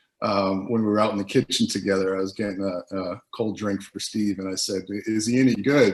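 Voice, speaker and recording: A man with a strong Boston accent, fairly low pitch and fairly even intonation. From US Northeast, Boston. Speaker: former basketball teammate. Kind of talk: documentary interview.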